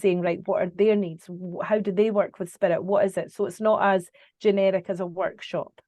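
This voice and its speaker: At a moderate pace, a woman speaks at medium pitch with a dark, mellow tone and monotone, flat intonation. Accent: Scottish. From Scotland. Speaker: psychic medium. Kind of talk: interview answer.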